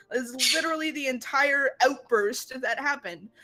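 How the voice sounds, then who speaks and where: Over background music, a woman projects a raised voice in a high pitch with fairly even intonation. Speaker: online game player. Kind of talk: heated discussion.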